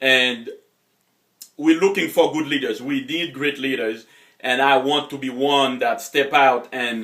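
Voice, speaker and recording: This man has a Haitian accent and a bright, sharp tone at medium pitch. He talks at a moderate pace with ordinary pitch variation. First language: Haitian Creole or French. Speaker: motivational coach. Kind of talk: motivational talk. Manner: hesitant, many fillers.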